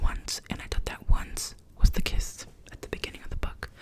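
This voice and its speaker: Whispered speech from a woman amid clear background noise. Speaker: ASMR content creator. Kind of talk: ASMR ramble, casual talk to camera. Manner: whispered, soft-spoken.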